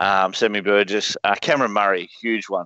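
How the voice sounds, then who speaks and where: A man with an Australian accent. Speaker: fantasy sports podcast host. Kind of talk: casual chat.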